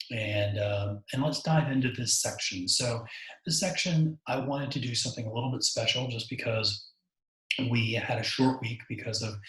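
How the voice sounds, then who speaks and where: A soft-spoken man talks at a moderate pace with a medium pitch and ordinary pitch variation. Audible room echo surrounds his voice. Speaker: university lecturer. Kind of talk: lecture. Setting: home recording. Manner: halting.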